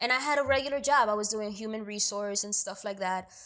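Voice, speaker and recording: Bright and sharp in tone, a woman with a New York accent talks at a fairly quick pace and a fairly high pitch in an animated way. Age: 20s. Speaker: actor and producer. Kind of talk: interview.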